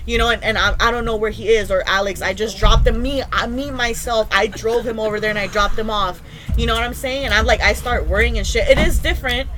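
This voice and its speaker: Speech comes at a very fast pace with hardly any pauses, amid noticeable background noise and audible room echo. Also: woman. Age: 20s. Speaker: podcast guest. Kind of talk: casual chat.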